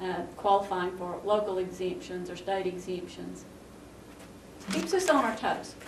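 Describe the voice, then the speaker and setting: A woman's medium-pitched voice at a fairly slow pace, with fairly even intonation, long and frequent pauses, audible room echo and noticeable background noise. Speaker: county tax commissioner. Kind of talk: local TV interview.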